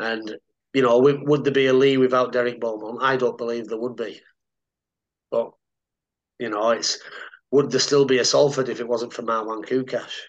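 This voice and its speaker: With a Cumbrian accent, a man of medium pitch speaks at a moderate pace in a flat monotone, leaving long, frequent pauses. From Cumbria, northern England. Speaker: retired rugby league player. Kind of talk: casual interview.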